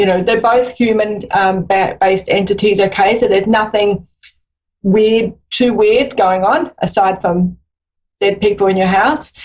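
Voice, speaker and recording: A woman with an Australian accent talks fairly slowly at medium pitch, keeping very even loudness and fairly even intonation. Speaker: psychic medium. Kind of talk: live phone-in reading.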